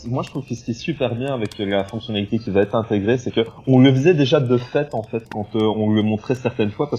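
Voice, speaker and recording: Talking at a fairly quick pace, a man has a medium-pitched, dark and mellow, somewhat breathy voice with ordinary pitch variation. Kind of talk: casual, explaining.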